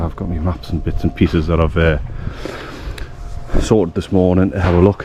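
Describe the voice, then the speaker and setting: Over noticeable background noise, a man with a very deep, low voice talks at a fairly quick pace with fairly even intonation. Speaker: history explorer vlogger. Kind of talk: casual walking vlog narration. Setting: outdoors in countryside.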